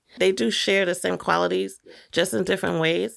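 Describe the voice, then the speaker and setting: With an American accent, a woman talks at a fairly quick pace in a very deep, low pitch, her voice showing vocal fry and very wide pitch swings. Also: very clean recording, silent background. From New York, Brooklyn. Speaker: filmmaker. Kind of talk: interview.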